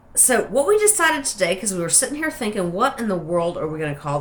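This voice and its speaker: A woman speaks in a relaxed tone with an American accent. Her pitch swings very widely. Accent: hillbilly. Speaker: soap maker. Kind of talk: casual tutorial. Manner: chatty, relaxed.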